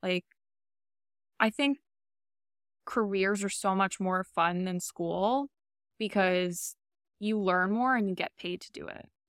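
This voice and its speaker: With an American accent, the speaker talks at a very slow pace with long, frequent pauses, ordinary pitch variation and big swings in loudness, in a dry, close sound with no echo on a very clean recording with a silent background. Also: woman, medium pitch for a woman. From Queens, New York. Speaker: podcast host, former finance worker. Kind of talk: casual chat.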